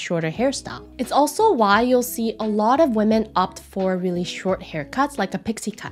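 A woman speaks at a moderate pace, her intonation lively. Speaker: face analysis creator. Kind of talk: explanatory vlog commentary. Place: home room.

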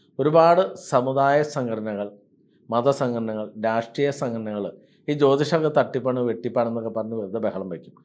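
Ordinary pitch variation in a man's voice of medium pitch. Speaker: astrologer and temple priest. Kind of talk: monologue to camera.

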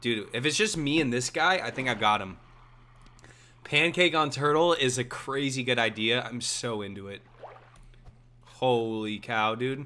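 A man talks at a fairly slow pace with long, frequent pauses. His tone is bright and sharp. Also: ordinary pitch variation. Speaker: streamer. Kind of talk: casual live gameplay commentary. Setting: livestream, gaming at home. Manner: animated, casual, profanity-laced. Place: home room.

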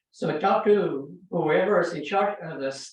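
Speaking very slowly, a man uses a high pitch. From California, Salinas Valley. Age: 80s+. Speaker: public commenter. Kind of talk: public comment at council meeting. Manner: halting.

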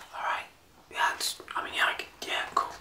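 A man whispering at a moderate pace. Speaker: artist vlogger. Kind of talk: casual vlog chat while drawing. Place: home room.

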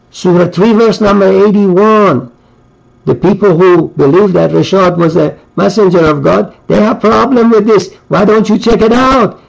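A man's high-pitched voice at a moderate pace, with very even loudness. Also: ordinary pitch variation, quiet background. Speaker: religious preacher. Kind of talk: sermon. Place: home room. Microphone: webcam.

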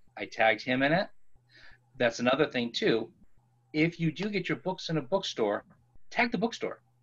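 A man's fairly high voice at a moderate pace, with very wide pitch swings and long, frequent pauses. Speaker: bookseller. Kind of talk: panel discussion. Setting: video call. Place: home room. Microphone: video call.

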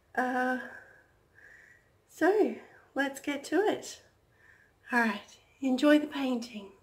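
A woman's high-pitched, very slow speech with lively intonation and long, frequent pauses, in audible room echo. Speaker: acrylic pouring artist. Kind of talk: tutorial. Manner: casual, hesitant with fillers.

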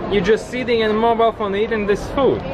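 Loud background noise runs beneath a man speaking with a Latvian accent. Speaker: guest vlogger. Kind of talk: casual vlog talk to camera. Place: cafe. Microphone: phone near.

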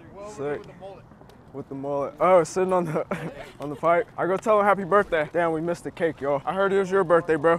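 A man speaks at a fairly quick pace with a high pitch and ordinary pitch variation. Noticeable background noise can be heard. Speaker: YouTuber doing RC and bike videos. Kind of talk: casual vlog chat. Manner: animated.

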